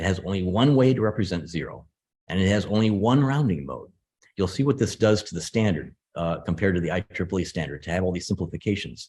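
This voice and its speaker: A man speaks with an American accent at a fairly quick pace, his pitch fairly low. The recording is very clean, with a silent background. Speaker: computer scientist. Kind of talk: lecture. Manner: fast.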